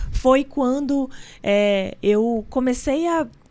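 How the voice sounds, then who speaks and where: A woman with a high pitch speaks with ordinary pitch variation. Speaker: entrepreneur and business association leader. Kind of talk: interview.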